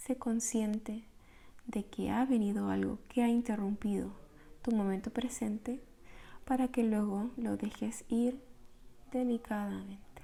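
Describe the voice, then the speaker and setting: Soft-spoken and somewhat breathy, a woman with a dark, mellow tone and fairly high pitch talks at a fairly slow pace in a monotone, flat way, with long, frequent pauses. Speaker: meditation guide. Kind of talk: guided meditation.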